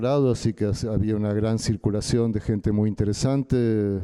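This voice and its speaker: A man with a fairly low pitch and a dark, mellow tone speaks at a moderate pace with fairly even intonation, in a dry, close sound with no echo. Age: 60s. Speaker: artist and activist. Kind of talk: panel talk, personal testimony.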